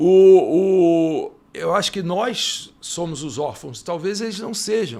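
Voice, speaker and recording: This man speaks at a very slow pace, his voice high in pitch with ordinary pitch variation. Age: 60s. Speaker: motorsport journalist. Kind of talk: casual panel debate.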